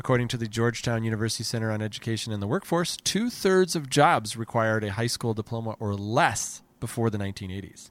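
An American-accented man talks in an ordinary speaking voice at a medium pitch. The recording is very clean, with a silent background. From New Jersey. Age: 40s. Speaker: comedy podcast host. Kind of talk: casual chat; scripted narration.

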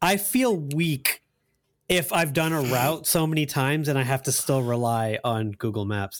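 Spoken with an American accent in an ordinary speaking voice, the delivery moves at a moderate pace with lively intonation and very even loudness. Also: man, fairly high pitch for a man. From US South. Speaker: gaming podcast panelist. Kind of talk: casual chat.

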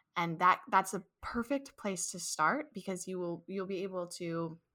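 Speaking at a moderate pace with fairly even intonation, a woman with a Midwestern American accent has a bright, sharp tone. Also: very clean recording, silent background. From St. Louis, Missouri. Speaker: childcare business owner. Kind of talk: casual interview.

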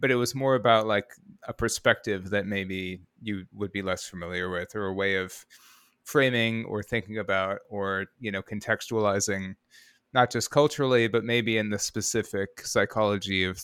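In a very clean recording with a silent background and a dry, close sound with no echo, a man with an American accent speaks at a moderate pace in an ordinary speaking voice, his pitch fairly low and his intonation fairly even. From US Midwest (Rockford, Illinois). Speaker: audio producer. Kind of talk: interview conversation.

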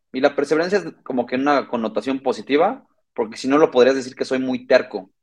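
A man with a normal speaking voice talks in a medium pitch at a moderate pace, with ordinary pitch variation. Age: 30s. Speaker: logistics startup co-founder. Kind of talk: interview.

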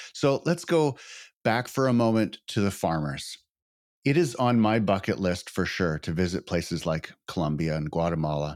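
The speaker's intonation is lively, captured in a very clean recording with a silent background. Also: man, very deep, low pitch for a man, moderate pace. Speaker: podcast host. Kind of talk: interview conversation.

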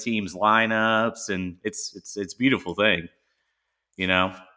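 A man speaks in a normal speaking voice with fairly low pitch. His pace is moderate and his intonation fairly even. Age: 40s. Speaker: podcast host. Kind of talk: casual chat.

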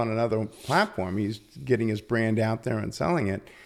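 Against a silent background on a very clean recording, a man with a medium pitch talks at a fairly quick pace in a normal speaking voice. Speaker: entrepreneur and business owner. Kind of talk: casual interview conversation.

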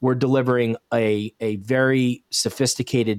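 Fairly even intonation in a Mid-Atlantic American accent, with a dry, close sound and no echo. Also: man. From Bucks County, Pennsylvania. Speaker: snow removal business owner. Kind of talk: podcast interview. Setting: video call.

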